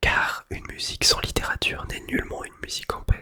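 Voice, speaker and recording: A man whispering. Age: 20s. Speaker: music teacher, ASMR creator. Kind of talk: literary book reading, essay on music. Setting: studio, close-up microphone. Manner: whispered, soft-spoken.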